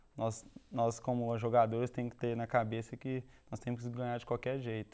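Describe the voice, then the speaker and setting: The man keeps a moderate pace. His intonation is monotone and flat. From Minas Gerais, Belo Horizonte. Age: young. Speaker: football player. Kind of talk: TV interview.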